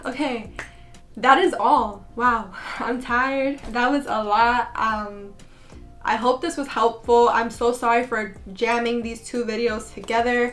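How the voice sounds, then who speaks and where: Over music in the background, a woman speaks at a fairly slow pace in a high pitch with fairly even intonation. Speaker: beauty vlogger. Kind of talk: casual vlog tutorial.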